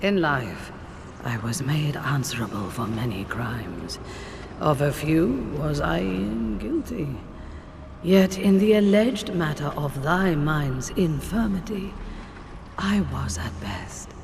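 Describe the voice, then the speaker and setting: A put-on character voice sits at a low-to-middle pitch and moves at a fairly slow pace. Long, frequent pauses break it up, over clear background noise. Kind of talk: archaic Early Modern English. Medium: video game. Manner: formal, wry.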